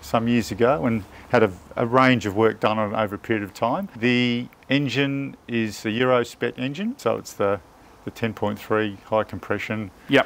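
A man speaks at a moderate pace, his pitch varying in an ordinary way. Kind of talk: interview answer. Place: garden. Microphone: lapel.

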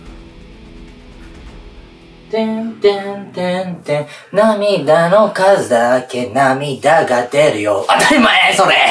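Faint music plays in the background while someone speaks at a very slow pace amid audible room echo. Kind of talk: casual playful banter. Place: home room.

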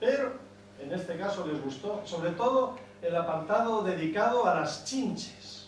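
A man speaks at a fairly slow pace. Light background noise and audible room echo surround the voice. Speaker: performer reading a comic monologue. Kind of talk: theatrical comic monologue. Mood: ironic, humorous. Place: hall. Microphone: camera far.

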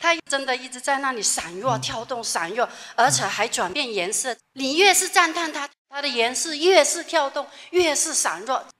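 A raised, projected voice makes very wide pitch swings and big swings in loudness at a moderate pace against a quiet background. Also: woman. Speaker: religious follower; audience member. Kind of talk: testimony. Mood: earnest, wondering. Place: hall.

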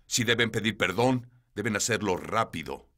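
The recording is very clean, with a silent background. A man with fairly low pitch and a bright, sharp tone speaks with ordinary pitch variation. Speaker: evangelist preacher (Spanish dubbed voice). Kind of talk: TV interview testimony. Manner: urgent.

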